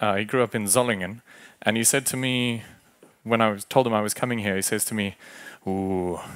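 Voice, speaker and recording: A man with a South African accent speaks at a fairly quick pace. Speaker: agile coach. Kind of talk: conference talk. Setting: stage with audience. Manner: casual, animated.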